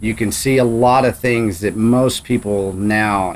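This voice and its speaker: Speaking with a Texan accent, a man uses a fairly low pitch. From Texas Panhandle. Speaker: podcast host. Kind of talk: interview conversation.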